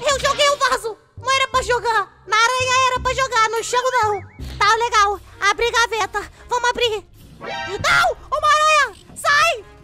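A cartoonish character voice talks at a moderate pace with faint music in the background. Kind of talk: kids cartoon voice. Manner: excitable, jumpy, shouting.

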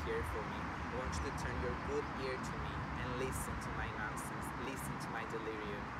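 Loud background noise fills a dry recording with no echo as a man speaks. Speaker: yoga teacher. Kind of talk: slam poetry reading. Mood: earnest, emotional, vulnerable. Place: waterside.

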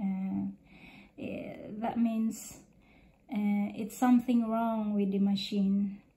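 A woman speaks at medium pitch with a non-native accent. Her somewhat breathy, dark, mellow voice stays monotone and flat. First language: not English. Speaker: vlogger. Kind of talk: casual monologue to camera. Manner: halting, many fillers.

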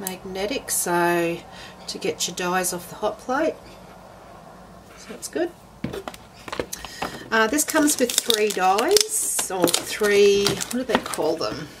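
A woman speaks at a very slow pace with long, frequent pauses. Loud background noise sits behind her. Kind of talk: casual unboxing commentary. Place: home room. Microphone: camera far.

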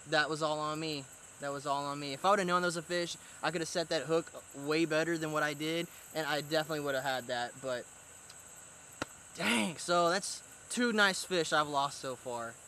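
With ordinary pitch variation, a man talks at a fairly quick pace in a dry sound without echo, with light background noise behind him. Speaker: fishing vlogger. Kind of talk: casual vlog chat. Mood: frustrated after losing fish. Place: waterside.

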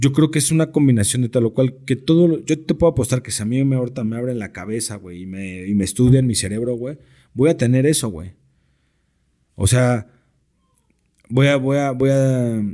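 Against a quiet background, a man with a dark, mellow tone and medium pitch talks at a moderate pace with ordinary pitch variation and long, frequent pauses. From Mexico. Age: 30s. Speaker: sports broadcaster and American football coach; American football coach. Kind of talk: casual interview. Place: studio. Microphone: studio mic.

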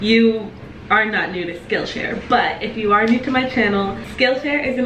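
A woman at a moderate pace with audible room echo and light background noise. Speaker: vlogger. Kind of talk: casual vlog chat, sponsor read. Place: kitchen. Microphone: camera far.

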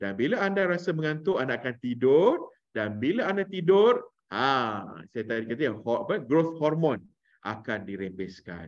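A man at a fairly slow pace with very wide pitch swings against a quiet background. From Malaysia, Melaka; Malaysia. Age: 40s. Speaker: parenting trainer and former radio DJ; parenting course trainer. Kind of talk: online workshop talk. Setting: video call. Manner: animated. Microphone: video call.

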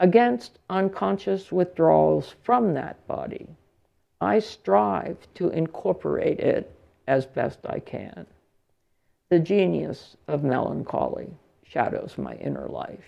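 Speaking at a very slow pace, a woman with an American accent swings widely in loudness. The background is quiet. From US, central Pennsylvania. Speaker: English and gender studies professor, keynote speaker; gender studies professor, keynote speaker. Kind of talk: lecture read from a prepared text. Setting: lecture hall with audience. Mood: reflective, measured.

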